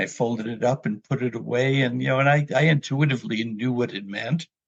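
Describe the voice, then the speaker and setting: The voice is somewhat breathy, with an American accent. It moves at a moderate pace with ordinary pitch variation. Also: man. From New York City area. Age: 70s. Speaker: memoir author. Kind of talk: personal storytelling interview.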